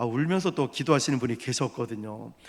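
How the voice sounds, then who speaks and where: A man's intonation is lively in this very clean recording, where the background is silent. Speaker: pastor. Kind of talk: sermon. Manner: loud.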